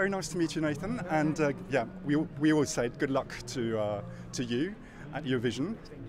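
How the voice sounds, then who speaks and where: Speaking at a fairly quick pace, a man has a fairly high pitch and lively intonation. The sound is dry with no echo, though background noise is noticeable. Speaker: interviewer. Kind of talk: casual interview. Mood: friendly, upbeat. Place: street.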